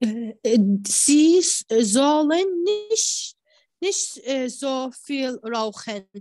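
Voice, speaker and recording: Speaking at a very slow pace, a woman has an Arabic accent. Her intonation is lively. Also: quiet background. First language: Arabic (speaking German). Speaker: language student. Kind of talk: reading aloud exercises. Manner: halting, hesitant.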